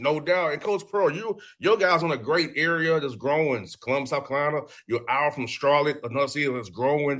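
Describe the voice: A man with a fairly high, fairly bright voice speaks at a fairly quick pace with ordinary pitch variation.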